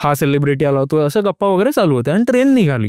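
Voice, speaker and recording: In a very clean recording with a silent background, a man's dark, mellow voice makes very wide pitch swings, the sound dry and close with no echo. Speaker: lawyer. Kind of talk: podcast storytelling. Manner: calm, gripping.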